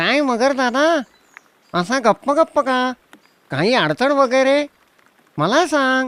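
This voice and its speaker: A cartoonish character voice pitched high moves along at a very slow pace. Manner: lively, friendly.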